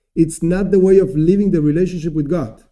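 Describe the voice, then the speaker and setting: A man speaks with a non-native accent and a high pitch for a man. His tone is dark and mellow. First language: not English. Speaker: rabbi teaching a class. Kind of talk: lecture. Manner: halting.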